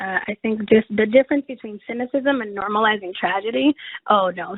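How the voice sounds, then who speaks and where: Lively intonation from a woman with a fairly high pitch and a Spanish accent. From Mexico. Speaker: chaplain and webinar presenter. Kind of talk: webinar presentation with Q&A. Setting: online webinar.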